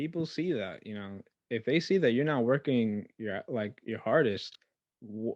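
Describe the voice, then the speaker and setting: A man with an American accent mumbles at a fairly slow pace, his medium pitch carried by lively intonation, in a dry, close sound with no echo and a quiet background. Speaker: podcast host. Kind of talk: casual chat. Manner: mumbling; stutters at times.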